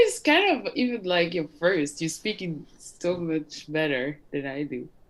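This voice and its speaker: With a French accent, a woman speaks at a fairly low pitch and hardly pauses at all. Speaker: legal service founder. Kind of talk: casual chat; casual conversation on a video call. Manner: halting. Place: home room. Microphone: webcam.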